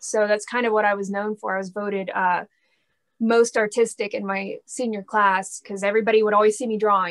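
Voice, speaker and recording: A woman speaks with monotone, flat intonation at a fairly quick pace. The background is quiet. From Texas, Dallas area. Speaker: rock guitarist and singer. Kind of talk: casual interview chat. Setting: video call. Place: home room. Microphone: webcam.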